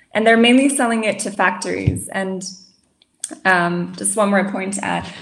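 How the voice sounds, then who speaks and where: A woman talks with long, frequent pauses. Audible room echo fills the recording. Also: moderate pace. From Germany and France. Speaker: master's student. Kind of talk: casual chat. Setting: video call.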